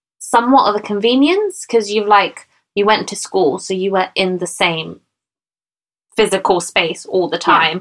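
A woman speaks fairly slowly at a medium pitch. It is an ordinary speaking voice. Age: 30s. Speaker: podcast co-host. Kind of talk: casual chat. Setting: recording at home in a bedroom.

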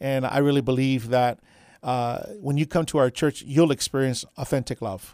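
In a very clean recording with a silent background and a dry, close sound free of echo, a man with a normal speaking voice talks at a moderate pace in a medium pitch with fairly even intonation. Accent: American. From Texas, south side of San Antonio. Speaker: pastor. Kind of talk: radio interview.

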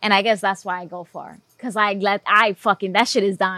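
Speaking at a fairly quick pace with a New York accent, a woman has a bright, sharp tone and medium pitch, with monotone, flat intonation and a dry, close sound with no echo. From Bronx, New York. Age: 30s. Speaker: filmmaker. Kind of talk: casual podcast interview.

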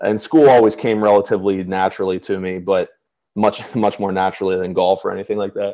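A man with a Mid-Atlantic accent at a very fast pace. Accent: American, Mid-Atlantic. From Pennsylvania, Chambersburg. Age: 20s. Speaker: school alumnus, golfer and philanthropist. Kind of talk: interview, casual chat. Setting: video call.

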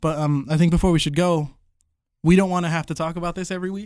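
A man speaks at a very fast pace in a fairly high voice with fairly even intonation. The recording is very clean, with a silent background. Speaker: drummer and co-host. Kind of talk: casual chat. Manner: rambling talker.

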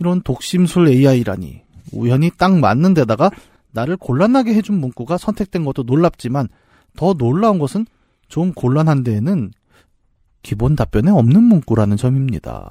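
A man's dark, mellow voice at a fairly high pitch, with very wide pitch swings and a moderate pace, in a dry, close sound with no echo and a very clean recording with a silent background. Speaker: podcast co-host. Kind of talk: casual chat.

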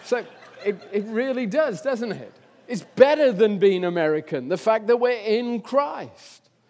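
With an English accent, a man speaks at a high pitch and a moderate pace. His intonation is lively. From England. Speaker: visiting preacher. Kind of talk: sermon. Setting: church. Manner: hesitant, many fillers.

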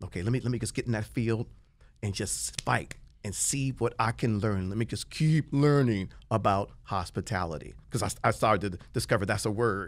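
In a very clean recording with a silent background, a man with an American accent speaks in an animated tone, his fairly low pitch showing vocal fry and lively intonation. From Washington, D.C. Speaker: celebrity chef. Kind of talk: casual chat. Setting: studio.

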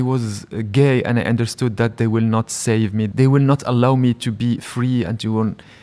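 A man's mid-range voice moves along at a rather unhurried pace. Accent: Moroccan. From Morocco (Rabat, Salé). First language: Moroccan Arabic. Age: 40s. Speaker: writer and film director. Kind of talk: live interview. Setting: public library with live audience.

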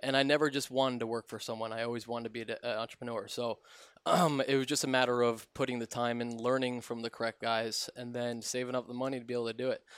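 Very fast, monotone delivery with flat intonation in an American accent, on a very clean recording with a silent background. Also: man, medium pitch for a man. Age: 30s. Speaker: custom cabinetry business owner. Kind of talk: casual chat. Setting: in his workshop.

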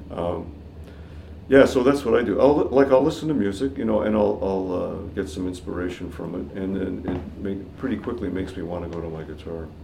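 Fairly quick, lively intonation in a Canadian accent, with big swings in loudness and audible room echo. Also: man, very deep, low pitch for a man. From Canada, Toronto. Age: 60s. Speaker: jazz guitarist. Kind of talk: casual chat.

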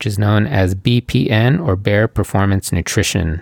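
A man with an unremarkable speaking voice, fairly low pitch and ordinary pitch variation at a fairly slow pace, dry and close with no echo. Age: 40s. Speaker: podcast host, jiu-jitsu practitioner. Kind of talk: solo podcast monologue.

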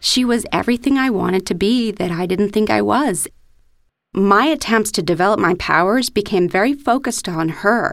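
A woman's ordinary speaking voice at a medium pitch, moderate in pace with ordinary pitch variation, on a very clean recording with a silent background. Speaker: storyteller. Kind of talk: personal storytelling.

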